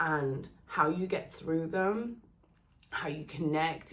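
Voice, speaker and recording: A woman's very deep, low voice with vocal fry and a Birmingham accent, very slow, with ordinary pitch variation and audible room echo. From England, Birmingham. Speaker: relationship content creator. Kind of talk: personal vlog monologue.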